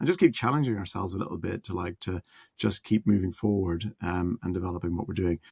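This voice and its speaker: A man with a Northern Irish accent speaks at fairly low pitch with ordinary pitch variation. The recording is very clean, with a silent background and a dry, close sound with no echo. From Northern Ireland. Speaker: musician and music producer. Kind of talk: interview. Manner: halting, many fillers.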